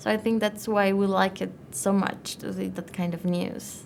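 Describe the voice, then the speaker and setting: Speaking fairly slowly, this voice carries a non-native accent. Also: woman. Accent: noticeable non-native accent, syllable-timed. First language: not English. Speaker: IELTS test taker. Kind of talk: speaking exam interview answer. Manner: fairly fluent with some hesitation.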